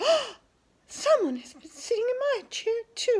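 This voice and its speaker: Squeaky and extremely high-pitched, a put-on, female-sounding character voice moves at a fairly slow pace. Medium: read story.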